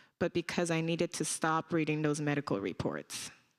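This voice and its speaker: A woman with a non-native accent, fairly low in pitch, at a moderate pace with fairly even intonation, on a very clean recording with a silent background. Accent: foreign accent, noticeable. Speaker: nurse and community activist. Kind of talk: panel discussion.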